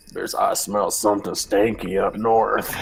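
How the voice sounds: A man speaks in a put-on character voice. His pitch sits in the middle range, at a moderate pace.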